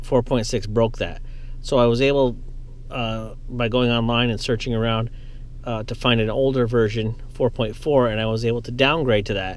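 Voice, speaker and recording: A man at a moderate pace, monotone and flat in intonation, dry sound with no echo. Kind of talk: tutorial. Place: car.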